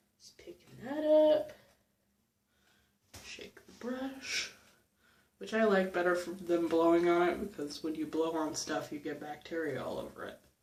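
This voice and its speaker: A soft-spoken woman with a fairly low pitch talks at a fairly slow pace with lively intonation. Her loudness swings widely, and she leaves long, frequent pauses. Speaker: beauty vlogger. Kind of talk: tutorial. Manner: casual.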